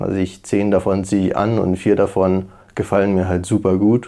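A man talks at a very slow pace in a fairly low pitch with a dark, mellow tone. The background is quiet. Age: 20s. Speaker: university student, former work-and-travel backpacker. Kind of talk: interview, casual personal account. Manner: hesitant, many fillers.

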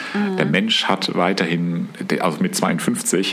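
The voice belongs to a man. Behind it, there is noticeable background noise. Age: 50s. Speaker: painter, host's father. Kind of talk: casual chat. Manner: halting.

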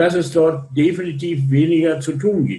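A man speaks in a normal speaking voice at a fairly high pitch. His pace is fairly slow and his intonation fairly even. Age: 60s. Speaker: logistics industry association chairman. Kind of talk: interview. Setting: remote call.

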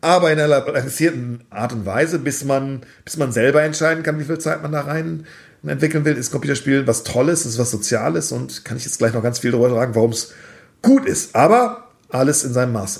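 Vocal fry from a man talking at a fairly quick pace, with ordinary pitch variation. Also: medium pitch for a man. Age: 40s. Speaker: esports company founder and CEO. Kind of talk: interview.

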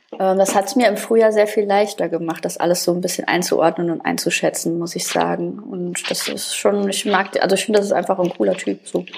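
Noticeable background noise sits behind a woman who talks at a fairly quick pace with hardly any pauses. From Saarland, Germany. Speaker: podcast co-host. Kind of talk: casual chat.

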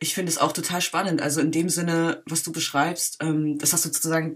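A woman with a fairly low voice moves at a fairly quick clip. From Berlin, Germany. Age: 20s. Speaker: filmmaker. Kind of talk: interview. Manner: halting, many fillers.

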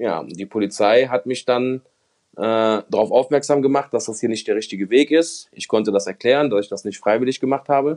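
Dry and close with no echo, a man in a plain, everyday voice speaks fairly quickly at medium pitch with ordinary pitch variation. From Germany, Mönchengladbach (Lower Rhine). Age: 30s. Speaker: former gambling addict and convicted fraudster. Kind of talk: testimony.

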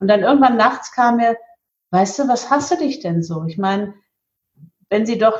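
The voice swings very widely in pitch and sounds somewhat breathy. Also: woman. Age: 50s. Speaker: market researcher and event organizer for spiritual teachings. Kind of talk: interview.

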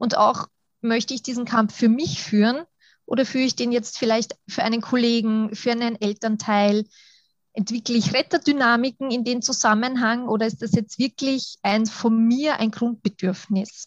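In a plain, everyday voice, a woman speaks at a moderate pace with fairly high pitch and fairly even intonation, the sound dry and close with no echo. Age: 30s. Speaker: kindergarten teacher and coach. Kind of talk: interview.

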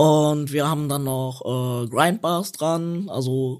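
This man has a plain, everyday voice, fairly high for a man, with ordinary pitch variation. The recording is very clean, with a silent background. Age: 30s. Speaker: wheelchair skater. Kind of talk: casual chat.

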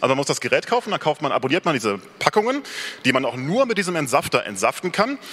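Noticeable background noise is present throughout. Over it, the voice leaps across very wide pitch swings. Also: man. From Rhineland, near Cologne. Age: 30s. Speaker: software developer giving a talk. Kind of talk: conference talk. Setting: stage with audience. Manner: hesitant, many filler sounds.

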